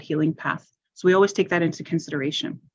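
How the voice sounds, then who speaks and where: A woman's plain, everyday voice with a Canadian accent and fairly even intonation. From Ontario. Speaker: health and social services director. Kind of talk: panel presentation Q&A.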